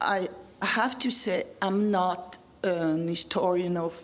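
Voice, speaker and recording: Audible room echo surrounds a woman with a French accent, her fairly low voice carrying lively intonation. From France. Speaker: history professor. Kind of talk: lecture. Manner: halting.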